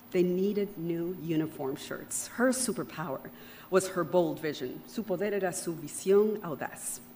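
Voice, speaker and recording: In a Spanish accent, the speaker has a dark, mellow tone and ordinary pitch variation. The pace is moderate. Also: woman, fairly low pitch for a woman. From Panama. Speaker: keynote speaker. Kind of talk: keynote speech. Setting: outdoor event with audience. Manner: switches between English and Spanish.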